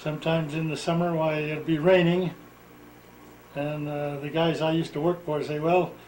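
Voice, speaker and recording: The voice has an American accent and monotone, flat intonation. It moves at a moderate pace, with audible room echo. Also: man, fairly high pitch for a man. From Utah, US. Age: 70s. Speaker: retired farmer telling his life story. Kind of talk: oral history interview.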